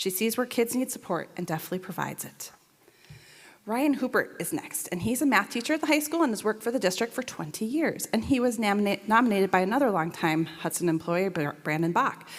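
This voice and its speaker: The pace is very fast. The pitch swings very widely. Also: woman, fairly high pitch for a woman. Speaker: school district staff presenter. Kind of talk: reading aloud staff award nominations. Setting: school board meeting.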